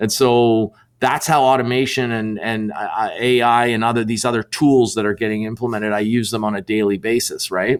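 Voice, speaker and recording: A man at medium pitch talks with hardly any pauses and fairly even intonation, on a very clean recording with a silent background. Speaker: sales author and business coach. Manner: fast.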